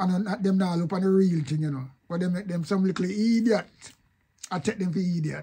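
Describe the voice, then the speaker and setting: Talking at a fairly quick pace, a man uses a high pitch with ordinary pitch variation. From Jamaica. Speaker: online commentator. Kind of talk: casual video commentary.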